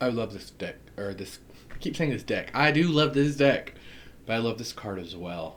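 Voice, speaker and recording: Speaking with an American accent, a man uses a medium pitch, lively intonation and big swings in loudness at a moderate pace. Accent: southern US accent, comes out at times. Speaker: tarot reader. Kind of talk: casual unboxing chat. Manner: animated.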